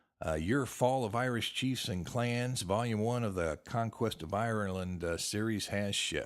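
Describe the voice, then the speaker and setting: At a moderate pace, a man talks in a normal speaking voice, medium in pitch with ordinary pitch variation. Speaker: podcast host, genealogy author. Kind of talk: podcast talk, genealogy show. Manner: casual, friendly.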